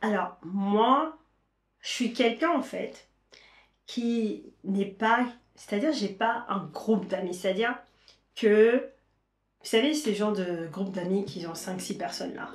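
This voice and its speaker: A woman at medium pitch with lively intonation, a very slow pace and long, frequent pauses. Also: big swings in loudness. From Caribbean, Saint-Martin, Haitian origin. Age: 30s. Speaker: lifestyle vlogger. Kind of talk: casual vlog talk to camera. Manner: hesitant, many fillers.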